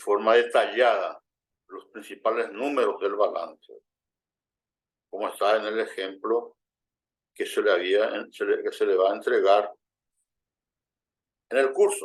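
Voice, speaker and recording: Pausing often and at length, a man talks at a fairly slow pace. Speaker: finance instructor. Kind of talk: lecture. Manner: halting, many repetitions and false starts.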